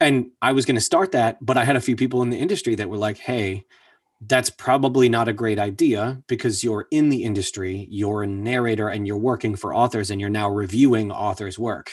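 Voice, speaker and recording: Using an ordinary speaking voice, a man talks at a fairly quick pace and medium pitch with ordinary pitch variation over a quiet background. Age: 30s. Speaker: voice actor. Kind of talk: casual chat.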